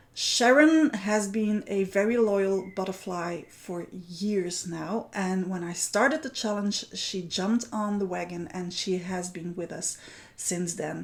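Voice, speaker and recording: A woman talks at a very slow pace with hardly any pauses. Her pitch is medium with ordinary variation. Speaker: art journaling teacher hosting a weekly challenge. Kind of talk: livestream chat. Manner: loud.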